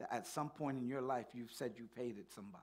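Pitch shifts in a normal, typical range. The man keeps a rather quick tempo. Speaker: pastor. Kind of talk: sermon. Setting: church. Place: church.

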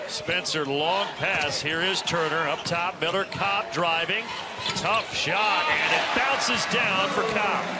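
Over noticeable background noise, a man with a high pitch speaks very slowly, his intonation lively and his loudness very even. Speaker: basketball play-by-play announcer. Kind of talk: live sports commentary on a college basketball game, highlights voiceover.

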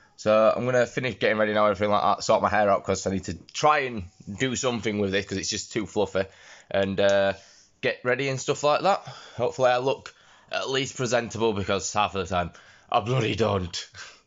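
Speech comes at a very fast pace in a Yorkshire accent, with ordinary pitch variation. The background is quiet. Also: man, fairly low pitch for a man. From Yorkshire, England. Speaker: vlogger and streamer. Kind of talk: casual vlog talk to camera. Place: home room. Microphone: phone near.

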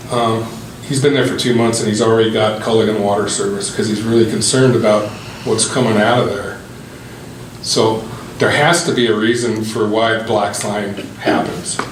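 A man talks at a moderate pace. The room echo is audible, and there is noticeable background noise. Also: medium pitch for a man, fairly even intonation. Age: 60s. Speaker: resident speaking at council Q&A. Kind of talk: public comment at meeting.

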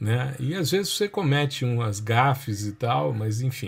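A man's medium-pitched, somewhat breathy voice moves at a fairly slow pace with lively intonation. The recording is very clean, with a silent background. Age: 50s. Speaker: university professor, remote sensing. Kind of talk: podcast interview.

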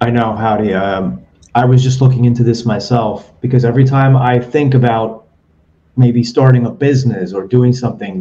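Dark and mellow in tone, the voice is somewhat breathy and moves at a moderate pace. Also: man. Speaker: podcast host; interview host. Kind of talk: casual interview. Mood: engaged, conversational. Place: home room. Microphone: webcam mic, broken microphone; video call.

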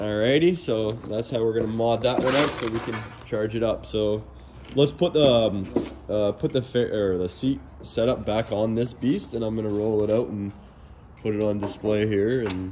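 The voice moves at a moderate pace with ordinary pitch variation, over noticeable background noise. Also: man, fairly low pitch for a man. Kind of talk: casual shop talk tutorial. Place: workshop. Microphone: phone near.

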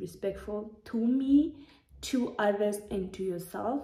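A somewhat breathy woman with a medium pitch, a dark, mellow tone and ordinary pitch variation, with audible room echo against a quiet background. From Namibia. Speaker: YouTuber. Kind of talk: casual vlog monologue. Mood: warm, earnest. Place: home room. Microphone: phone near.

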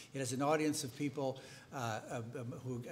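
A man with an American accent speaks at a medium pitch and a moderate pace. His intonation is fairly even, with light background noise. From United States. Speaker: veteran newspaper editor. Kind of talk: panel discussion. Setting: stage with audience. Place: hall. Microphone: podium.

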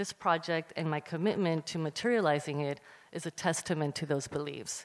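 A woman's plain, everyday voice, fairly low in pitch, with an American accent, a fairly quick pace and fairly even intonation. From US, Cuban American. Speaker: curator and panel moderator. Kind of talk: panel moderation. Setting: stage with audience. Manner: formal.

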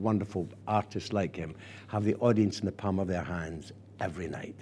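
A man with a Scottish accent speaks at a fairly quick pace and fairly low pitch, his intonation fairly even. His tone is dark, mellow and warm, over light background noise. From Scotland. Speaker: actor and theatre director. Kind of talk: archive interview answer. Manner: warm, anecdotal, expressive. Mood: warm, nostalgic storytelling. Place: office. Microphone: lapel.

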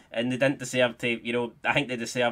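This is a man speaking. He has a Scottish accent. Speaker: gaming YouTuber. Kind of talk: gameplay commentary, live football play-by-play during penalty shootout. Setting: home recording, playing FIFA. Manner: casual, chatty, swearing.

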